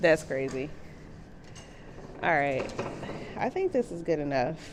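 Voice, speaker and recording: Noticeable background noise behind a woman's very deep, low voice, fairly slow in pace, with ordinary variation in pitch. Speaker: muralist and art vlogger. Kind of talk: casual vlog narration. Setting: outdoors at night in a tunnel.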